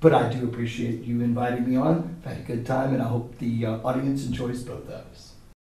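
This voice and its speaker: A man speaks at a fairly quick pace and a medium pitch, with hardly any pauses and fairly even intonation. His loudness swings widely, and background noise is noticeable. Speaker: high school theater teacher. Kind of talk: comedic interview. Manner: loud, projecting; formal.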